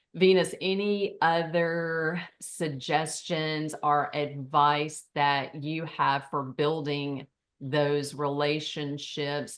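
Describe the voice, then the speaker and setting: A woman with a very deep, low voice and a rural Southern US accent. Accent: Southern rural pronunciation of realtor. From Tennessee, US South. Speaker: forum host. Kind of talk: panel discussion.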